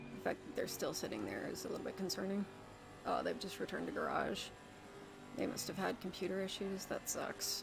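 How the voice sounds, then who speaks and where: Soft-spoken and fairly quick, a woman talks in a room with audible echo while music plays in the background. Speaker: sim racing streamer. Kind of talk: live gameplay commentary.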